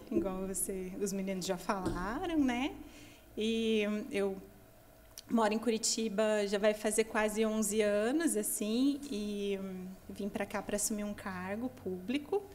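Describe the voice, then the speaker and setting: A woman talks very slowly, her voice at a medium pitch and her pitch varying in an ordinary way. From Paraná, Brazil (Londrina). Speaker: missionary. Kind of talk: podcast interview.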